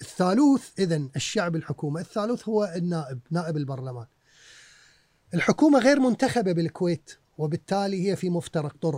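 A man's high-pitched voice with lively intonation at a moderate pace, on a very clean recording with a silent background and a dry, close sound with no echo. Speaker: historian and author. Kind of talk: casual interview. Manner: mixes English words into speech.

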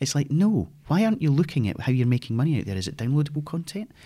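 A man talks very fast in a Scottish accent, his pitch swinging very widely. His tone is dark and mellow, and somewhat breathy. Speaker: games industry veteran. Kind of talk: casual interview conversation.

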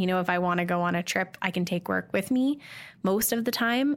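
A woman with a western Canadian accent speaks at a moderate pace in a medium pitch with ordinary pitch variation, on a very clean recording with a silent background. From Canada, Calgary. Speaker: social media marketing consultant. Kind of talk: casual interview while playing a board game.

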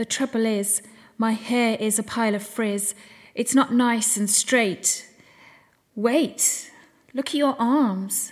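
Speaking at a very slow pace, a woman with a British accent leaves long, frequent pauses. Her pitch is fairly high and her intonation fairly even. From England. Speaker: poet and podcaster. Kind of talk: spoken word poetry, performed rhyming poem. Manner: rhythmic, rhyming delivery; emotional, reflective.

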